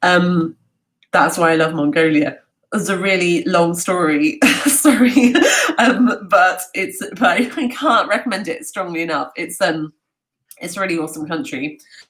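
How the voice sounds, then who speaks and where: This woman has a London accent. Her pitch sits in the medium range, and her intonation is lively. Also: moderate pace. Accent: southern English (London). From London, England. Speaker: travel talk host. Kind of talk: live Q&A. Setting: livestream from home. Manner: halting, many fillers; animated.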